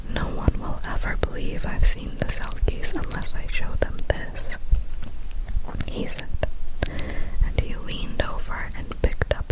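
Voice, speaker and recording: A whisper moves at a fairly slow pace while noticeable background noise plays underneath. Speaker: ASMR creator. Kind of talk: story reading.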